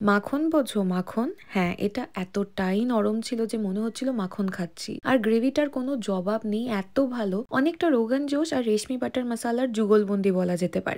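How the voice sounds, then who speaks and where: Heard here is a normal speaking voice with ordinary pitch variation. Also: woman, fairly high pitch for a woman. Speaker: food blogger. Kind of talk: food review voiceover. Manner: chatty, conversational.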